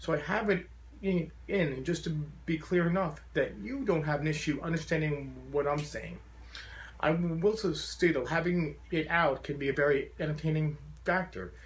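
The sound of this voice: A man at a fairly high pitch and moderate pace, with ordinary pitch variation and audible room echo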